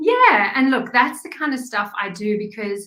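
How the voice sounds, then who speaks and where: A woman with a South African accent speaks at a moderate pace in a bright, sharp tone. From South Africa, small town near Kruger. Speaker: graphic designer and business owner. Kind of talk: interview.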